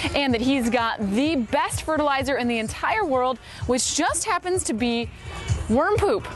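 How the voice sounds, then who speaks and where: A woman with an American accent speaks at a moderate pace in a high voice, her intonation lively and her loudness very even, with music playing in the background. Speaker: television news reporter and anchor. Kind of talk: TV news reporter package. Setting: on-location field reporting.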